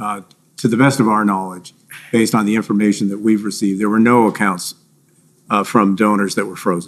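The speaker is a man with a fairly low pitch. His intonation is monotone and flat, broken by long, frequent pauses. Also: fairly quick pace. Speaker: government finance official witness. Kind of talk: witness testimony under questioning. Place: hall.

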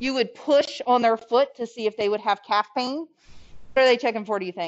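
At a fairly quick pace, a woman speaks in a fairly high voice with ordinary pitch variation. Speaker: nursing instructor. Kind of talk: lecture. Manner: fast.

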